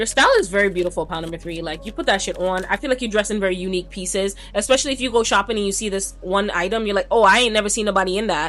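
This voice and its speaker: A woman rattles along at a very fast pace, barely pausing, while noticeable background noise sits behind her. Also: medium pitch for a woman, ordinary pitch variation. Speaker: tarot reader. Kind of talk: pick a card tarot reading. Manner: casual, conversational with filler words; stumbling over words.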